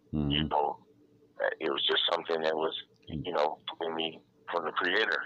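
Amid noticeable background noise, a man with a very deep, low pitch speaks in a monotone, flat way at a moderate pace, with long, frequent pauses. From Detroit, Michigan. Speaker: DJ and music producer. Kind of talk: interview. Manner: halting, many fillers.

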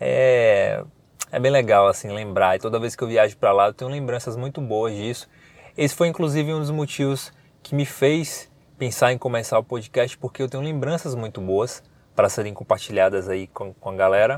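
A man speaks at a medium pitch with ordinary pitch variation in an unremarkable speaking voice. The recording is very clean, with a silent background. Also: moderate pace. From Bahia interior, Brazil (Paripiranga). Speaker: podcast host. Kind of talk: casual podcast monologue. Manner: informal, chatty.

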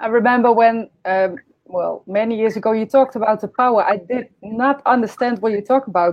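Moderate pace and ordinary pitch variation from a woman, her voice fairly high. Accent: Dutch. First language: Dutch. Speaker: podcast host and medium. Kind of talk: casual interview over live stream. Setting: live online stream. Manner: halting.

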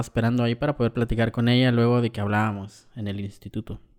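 A man at a very fast pace, with a dry, close sound, no echo, a very clean recording and a silent background. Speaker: podcaster. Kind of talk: personal testimony.

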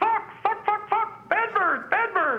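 The speaker uses a put-on character voice with an extremely high pitch. The pace is fairly slow. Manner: squawking.

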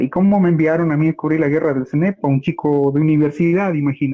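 A man talks in a plain, everyday voice. His pitch is fairly high, and his intonation stays fairly even. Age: 40s. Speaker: television journalist. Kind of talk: interview.

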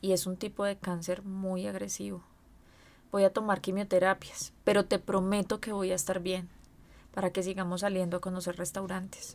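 In a very clean recording with a silent background, a woman speaks at a moderate pace and medium pitch in a monotone, flat intonation. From Colombia, Medellín. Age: 30s. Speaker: cancer patient. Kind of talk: testimony.

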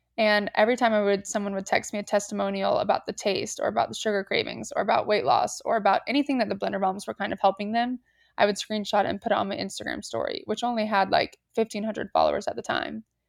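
Very fast delivery with hardly any pauses. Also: woman. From US South, Atlanta, Georgia. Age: 20s. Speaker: entrepreneur. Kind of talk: casual chat. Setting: remote call without video.

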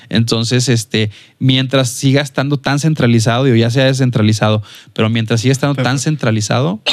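A man talks at a fairly quick pace in a medium pitch. His intonation is fairly even and his loudness very even. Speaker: filmmaker and photographer. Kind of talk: casual interview chat. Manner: hesitant, many fillers.

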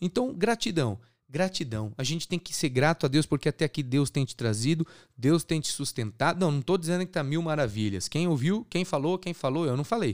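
In an animated tone with lively intonation, a man with a fairly high pitch speaks at a fairly quick pace, the sound dry and close with no echo on a very clean recording with a silent background. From Brazil, São Paulo state. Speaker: podcast host, evangelical preacher. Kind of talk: sermon.

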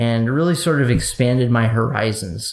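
With an American accent, a man in an ordinary speaking voice talks at a medium pitch and a moderate pace. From eastern Wisconsin, US Midwest. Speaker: podcast guest, former business owner. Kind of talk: casual chat.

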